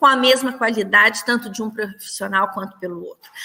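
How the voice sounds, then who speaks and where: A woman is speaking. Her intonation is lively. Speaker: nursing professor. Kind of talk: lecture. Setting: online livestream.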